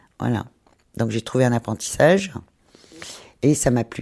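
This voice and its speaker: Very deep and low in pitch, a woman's dark, mellow voice moves at a fairly quick pace with fairly even intonation, recorded dry and close with no echo, very clean with a silent background. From Brittany, France. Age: 60s. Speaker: retired hairdresser, charity volunteer. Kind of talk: testimony. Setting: on the move and in a café. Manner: hesitant, many fillers.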